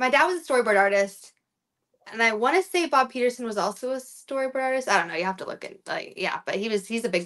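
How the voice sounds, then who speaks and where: A woman's high-pitched voice with a bright, sharp tone, lively intonation and fairly quick pace against a quiet background. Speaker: voice actor. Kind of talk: interview answer. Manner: casual, chatty. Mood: relaxed, friendly. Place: home room. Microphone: video call.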